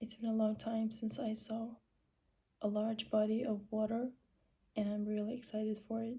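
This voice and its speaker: Somewhat breathy, a woman speaks at a fairly high pitch with a dark, mellow tone. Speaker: vlogger. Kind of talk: casual vlog narration.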